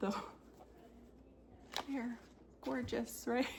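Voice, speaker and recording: With vocal fry, a woman speaks at a fairly slow pace. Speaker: cross stitch video creator. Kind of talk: casual show-and-tell chat.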